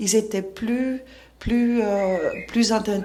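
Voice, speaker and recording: A woman is speaking. Noticeable background noise runs throughout. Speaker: school founder and educator. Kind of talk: interview. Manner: halting.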